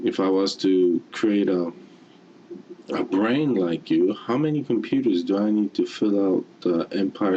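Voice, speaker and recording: The pace is fairly slow as a man speaks. Background noise is noticeable. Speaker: motivational speaker. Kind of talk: motivational talk. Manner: halting.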